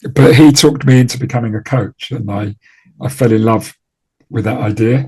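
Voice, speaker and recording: A man speaks at a moderate pace in a medium pitch, his dark, mellow tone somewhat breathy and his intonation fairly even. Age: 60s. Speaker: trading performance coach. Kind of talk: interview. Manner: halting, with fillers and repeated words.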